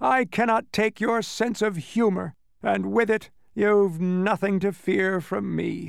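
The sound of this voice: A man uses a high, put-on character voice with vocal fry, speaking slowly on a very clean recording with a silent background. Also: fairly even intonation.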